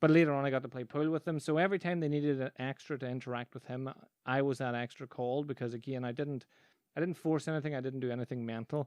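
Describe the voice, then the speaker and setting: Speaking very fast with a Northern Irish accent, a man keeps a medium pitch and fairly even intonation, recorded dry and close with no echo against a quiet background. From Northern Ireland. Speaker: podcast host, business coach and magician. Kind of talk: casual solo podcast monologue. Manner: conversational with frequent false starts.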